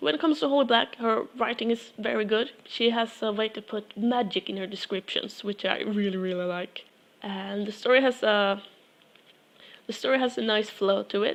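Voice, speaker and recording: Ordinary pitch variation runs through this speech with a non-native accent. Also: woman. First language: not English. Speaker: book reviewer. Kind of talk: casual book review monologue. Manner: halting, with fillers.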